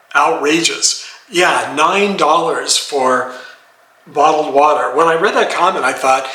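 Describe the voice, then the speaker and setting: A man with fairly high pitch speaks at a moderate pace. Noticeable background noise runs under his voice. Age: 70s. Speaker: retiree. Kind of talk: casual talk to camera.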